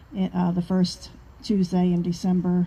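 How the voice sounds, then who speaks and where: This woman has a dark, mellow tone at medium pitch. Her voice is somewhat breathy. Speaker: activist group member. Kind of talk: casual chat.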